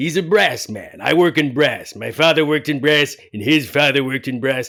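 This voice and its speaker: A man puts on a character voice at a fairly high pitch, speaking at a moderate pace with ordinary pitch variation. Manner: silly.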